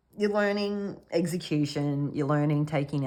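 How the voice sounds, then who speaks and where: In an Australian accent, a woman talks with a very deep, low pitch and ordinary pitch variation. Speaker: tarot reader. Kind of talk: intuitive tarot reading. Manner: halting, filler-heavy.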